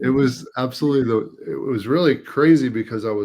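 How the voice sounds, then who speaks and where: With an American accent, a man speaks in an unremarkable speaking voice at medium pitch with ordinary pitch variation. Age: 50s. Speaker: retired air force veteran. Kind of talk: interview answer, health testimonial.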